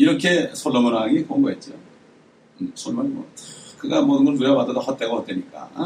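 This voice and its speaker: Taking long, frequent pauses, a man still talks at a fairly quick pace. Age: 60s. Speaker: pastor. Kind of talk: sermon.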